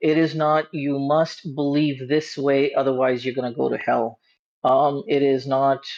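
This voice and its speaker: Against a quiet background, the voice moves at a fairly slow pace. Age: 40s. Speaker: caller. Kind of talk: casual chat. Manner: halting, many fillers.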